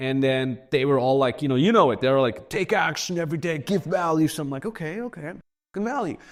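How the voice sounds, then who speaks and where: Very fast and animated, a man with a German accent talks with lively intonation. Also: fairly high pitch for a man. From Austria. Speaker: entrepreneur. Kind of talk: casual chat. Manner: casual, animated with filler.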